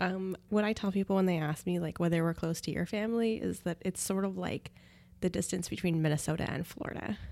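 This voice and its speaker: Ordinary pitch variation runs through the speech. Its tone is dark and mellow. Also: woman, fairly low pitch for a woman. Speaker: podcast co-host. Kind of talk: casual chat.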